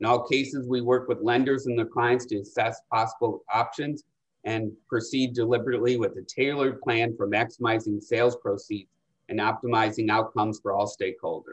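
A man's somewhat breathy voice, monotone and flat in intonation, at a fairly quick pace. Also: quiet background. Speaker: investment banker and panel moderator. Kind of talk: webinar panel moderation. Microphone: video call.

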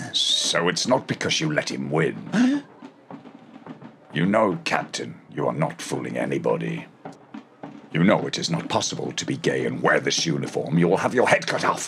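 A man speaks at a moderate pace in a very deep, low pitch. His speech has long, frequent pauses. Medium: fan dub. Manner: sly, mocking.

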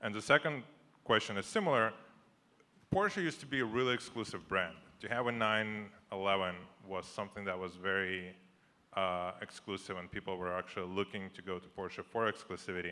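With an unremarkable speaking voice, a man speaks at a moderate pace in a fairly low pitch with ordinary pitch variation. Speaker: audience member asking questions; audience member. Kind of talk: audience Q&A. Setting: microphone in live audience. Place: hall. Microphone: handheld.

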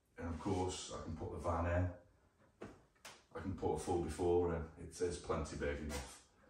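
In a room with audible echo and light background noise, a man speaks at a moderate pace with monotone, flat intonation. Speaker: vlogger. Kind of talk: casual vlog chat. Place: garage. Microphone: camera far.

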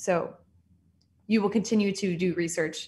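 A somewhat breathy woman with a Californian accent, at a fairly quick pace and ordinary pitch variation. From Southern California. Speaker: general dentist. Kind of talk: online presentation. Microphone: video call.

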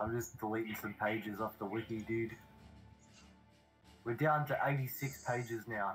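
In an Australian accent, a man speaks at medium pitch with fairly even intonation. He leaves long, frequent pauses while music plays in the background. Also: moderate pace. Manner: casual, chatty.

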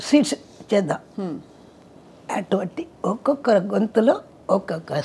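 A woman speaks with very wide pitch swings over light background noise. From Chennai, India. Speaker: playback singer. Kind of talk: interview answer. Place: home room. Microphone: lapel.

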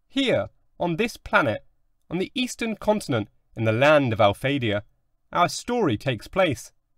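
A man with a fairly high pitch and vocal fry speaks at a moderate pace with long, frequent pauses. His tone is dramatic, with very wide pitch swings. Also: dry, close sound with no echo. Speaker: audiobook narrator. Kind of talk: scripted fairy-tale narration, read aloud in a dramatic storyteller's tone. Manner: dramatic, measured storytelling with wry, tongue-in-cheek asides.

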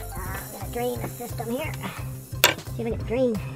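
With loud music playing in the background, a man speaks at a fairly quick pace. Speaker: home mechanic. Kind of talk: DIY repair tutorial narration. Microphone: camera far.

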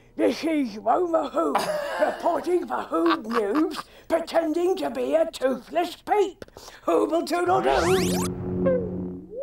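A woman's high-pitched, put-on character voice at a very slow pace, with music in the background. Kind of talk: playful children's TV reporting. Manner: playful, silly.

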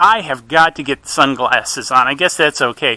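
A man's bright, sharp voice, dry and without echo. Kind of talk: casual live commentary. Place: open country.

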